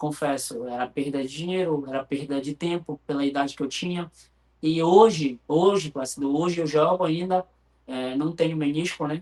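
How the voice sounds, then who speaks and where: Here a man speaks in a plain, everyday voice. His pitch is fairly high, with ordinary variation. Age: 40s. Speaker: futsal player. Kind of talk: interview.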